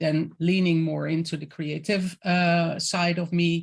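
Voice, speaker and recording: Over a quiet background, a woman talks at a fairly slow pace in a Dutch accent. Her pitch is very deep and low. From Netherlands. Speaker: intuitive creative coach. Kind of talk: interview. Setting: video call.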